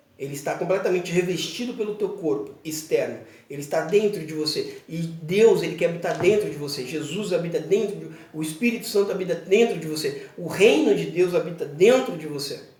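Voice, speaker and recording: A high-pitched male voice at a fairly quick pace, with ordinary pitch variation, audible room echo and noticeable background noise. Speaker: pastor. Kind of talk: bible teaching video. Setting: church children's room, alone.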